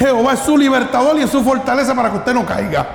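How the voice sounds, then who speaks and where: A man's extremely high-pitched voice carries audible room echo and noticeable background noise. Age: 50s. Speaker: pastor. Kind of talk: sermon. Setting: church.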